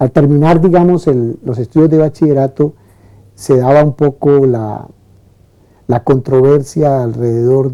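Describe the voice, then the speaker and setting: At a moderate pace, a man speaks at a medium pitch in a dark, mellow tone with fairly even intonation. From Colombia, Valle del Cauca (Buga). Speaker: lawyer and professor. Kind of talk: testimony. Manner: halting.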